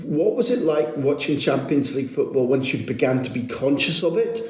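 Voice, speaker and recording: With a Scottish accent and very wide pitch swings, a man speaks at a moderate pace amid audible room echo and noticeable background noise. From Scotland, Aberdeen. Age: 50s. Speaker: football journalist and podcast host. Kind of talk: interview.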